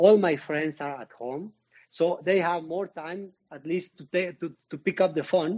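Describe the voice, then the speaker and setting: A man with a Mexican accent and a high pitch speaks at a fairly slow pace with ordinary pitch variation and big swings in loudness. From Mexico. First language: Spanish. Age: 50s. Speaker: retired marathon runner. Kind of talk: interview. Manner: halting, with repetitions.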